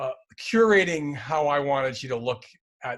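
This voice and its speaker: A man speaks at a fairly slow pace. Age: 60s. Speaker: choreographer and dance company director. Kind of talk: interview conversation. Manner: halting, with frequent fillers and restarts.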